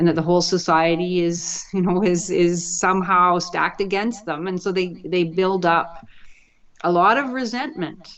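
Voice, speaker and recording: An unremarkable speaking voice from a woman with a Canadian accent, fairly low in pitch, with ordinary pitch variation and a moderate pace. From Canada, Vancouver. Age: 60s. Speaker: professor. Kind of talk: interview.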